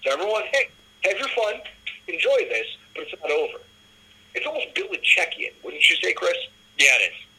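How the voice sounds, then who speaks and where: Someone with an American accent speaks at a fairly quick pace, with long, frequent pauses. Background noise is noticeable. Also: man. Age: 30s. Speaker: sports podcast host. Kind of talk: casual sports chat.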